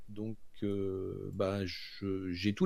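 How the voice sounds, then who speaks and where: This man's voice sits fairly low in pitch, with a dark, mellow tone. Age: 50s. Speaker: computer science teacher. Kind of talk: interview. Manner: halting.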